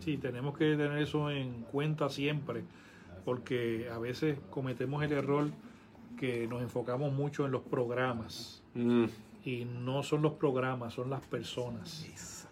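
A man with a plain, everyday voice speaks at a medium pitch. His pace is fairly slow and his intonation fairly even. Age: 50s. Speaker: pastor. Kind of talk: casual chat.

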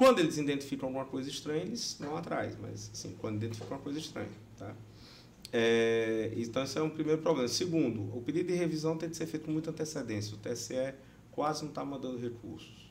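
At a very fast pace, a man with fairly high pitch and ordinary pitch variation speaks amid noticeable background noise and audible room echo. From Brazilian Northeast. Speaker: election lawyer and law professor. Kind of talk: podcast interview.

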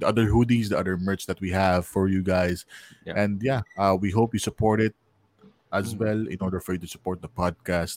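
A man speaks with a Filipino accent at a fairly low pitch. The sound is dry and close, with no echo. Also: fairly even intonation, fairly quick pace. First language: Tagalog. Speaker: podcast host and magician. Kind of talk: casual chat. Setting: live stream.

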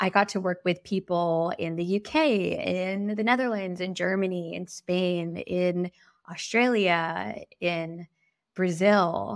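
With a General American accent, a woman speaks at a very slow pace with a medium pitch and fairly even intonation, in a very clean recording with a silent background. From US West Coast, San Francisco Bay Area. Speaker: podcast host and wellness coach. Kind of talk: solo personal storytelling. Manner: soft-spoken, a little quieter.

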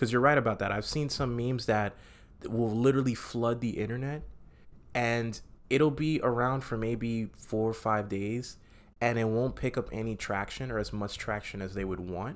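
A man's plain, everyday voice at a moderate pace, medium in pitch, with fairly even intonation. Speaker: podcast host. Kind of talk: casual chat. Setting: bedroom at home. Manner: joking, casual.

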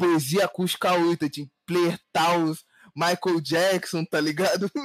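Pitched high, a man speaks in a dry, close sound with no echo while music plays in the background. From Rio de Janeiro, Brazil. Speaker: rapper and music artist. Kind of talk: casual chat.

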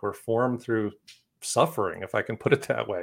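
A man with an American accent. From Wisconsin. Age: 50s. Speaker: author and keynote speaker. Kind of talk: casual interview. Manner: halting.

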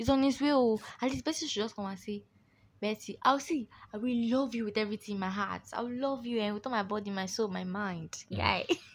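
A woman speaks in an animated tone at a fairly quick pace, her voice somewhat breathy. Her pitch is fairly high, with ordinary variation. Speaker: podcast host. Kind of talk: casual chat.

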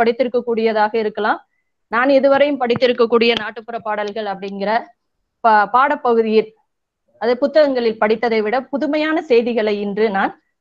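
A woman speaks in a normal speaking voice. Her pitch sits fairly high, with ordinary pitch variation. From Tamil Nadu, Tirunelveli district. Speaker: college teacher attending a refresher course. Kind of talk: vote of thanks.

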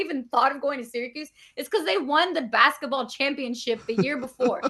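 Here a woman with an American accent uses a raised, projected voice. Her pitch is high and her pace very fast. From Bronx, New York. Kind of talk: casual interview chat.

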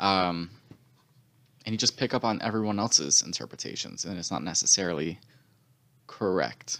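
With long, frequent pauses, a man with a very deep, low pitch, lively intonation and vocal fry talks at a moderate pace in a very clean recording with a silent background. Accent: American. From North Carolina and Connecticut (military family). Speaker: podcast co-host. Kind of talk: casual chat.

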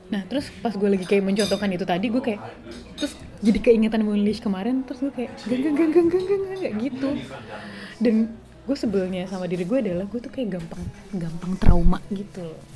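Over noticeable background noise, a woman talks at a fairly quick pace. Her pitch is fairly high and her intonation lively. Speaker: podcast co-host. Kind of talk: casual chat.

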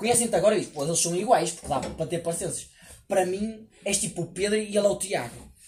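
Over music in the background, a man talks at a high pitch with ordinary pitch variation. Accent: European Portuguese. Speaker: podcast guest. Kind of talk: casual chat. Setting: outdoor table at a house.

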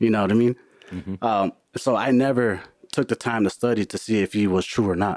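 A man with an American accent and a plain, everyday voice talks at a fairly quick pace, fairly low in pitch with fairly even intonation, in a dry, close sound with no echo. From US Midwest, Milwaukee. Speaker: IT worker, churchgoer. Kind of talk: casual chat.

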